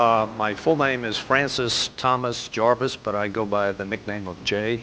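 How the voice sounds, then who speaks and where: The speaker has an American accent. The pace is moderate and the intonation fairly even. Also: man, medium pitch for a man. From Long Island, New York. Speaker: forensic chemist expert witness. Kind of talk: courtroom testimony. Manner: hesitant, many fillers.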